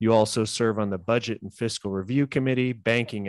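A man's medium-pitched, a plain, everyday voice at a fairly quick pace with fairly even intonation, in a dry, close sound with no echo and a quiet background. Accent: American. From California. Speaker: podcast host. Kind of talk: interview.

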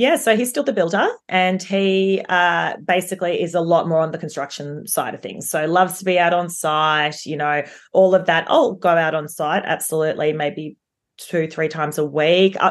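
A woman speaks with an Australian accent and hardly any pauses. The background is quiet. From Melbourne, Australia. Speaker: property developer. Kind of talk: interview.

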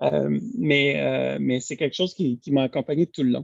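The man's speech sounds dry and close, with no echo at all. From Quebec, east end of Montreal. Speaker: lawyer, bar president candidate. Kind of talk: interview. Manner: halting, many repetitions.

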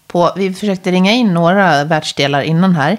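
The woman speaks at a fairly low pitch. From Dalarna, Sweden. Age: 40s. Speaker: podcast host. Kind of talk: interview. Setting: her kitchen.

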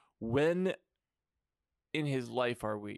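A man speaks in an animated tone at a fairly slow pace, his voice dry and close with no echo on a very clean recording with a silent background. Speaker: podcast host. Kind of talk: comedic banter, podcast. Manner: animated, comedic.

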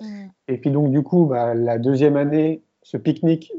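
His pitch fairly high for a man, he has an unremarkable speaking voice and ordinary pitch variation. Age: 40s. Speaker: filmmaker and entrepreneur. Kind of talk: interview.

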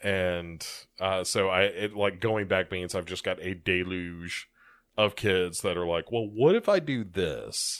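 A man's very deep, low voice, fairly slow and fairly even in intonation, in a very clean recording with a silent background. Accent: American. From United States. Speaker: podcast co-host, teacher. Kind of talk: casual chat.

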